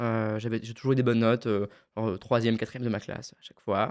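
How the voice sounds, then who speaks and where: His pitch stays medium. The man's words come at a very fast pace. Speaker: public speaking trainer. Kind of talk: podcast interview.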